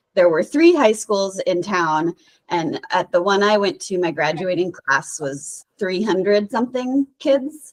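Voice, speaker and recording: A woman talks at a fairly slow pace with lively intonation and medium pitch. It is a plain, everyday voice. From Colorado, Fort Collins. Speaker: biologist. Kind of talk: class visit talk.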